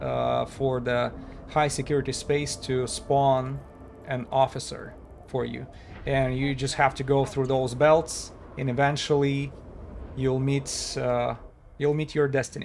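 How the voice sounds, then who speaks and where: Here a man speaks at a fairly slow pace with a non-native accent. His fairly high pitch keeps a fairly even intonation. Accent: harsh non-native. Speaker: gaming streamer. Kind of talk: live gameplay stream. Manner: hesitant, many fillers.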